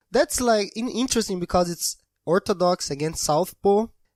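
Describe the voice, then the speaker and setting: Recorded very cleanly against a silent background, a man with a Brazilian accent is heard in a dry, close sound with no echo. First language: Portuguese. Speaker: podcast host. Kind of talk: casual chat.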